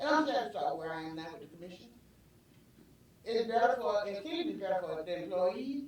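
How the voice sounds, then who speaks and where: With a Southern US accent, a woman at medium pitch speaks with very wide pitch swings and long, frequent pauses. Audible room echo and noticeable background noise are present. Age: 70s. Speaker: city commissioner. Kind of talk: public meeting statement. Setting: city commission meeting. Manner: halting, repetitive.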